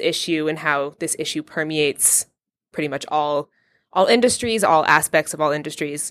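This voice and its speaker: An ordinary speaking voice from a woman with an American accent, fairly low in pitch with ordinary pitch variation, at a moderate pace, with a dry, close sound, no echo, and a very clean recording over a silent background. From US, Vermont. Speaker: graduate student. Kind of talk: casual chat.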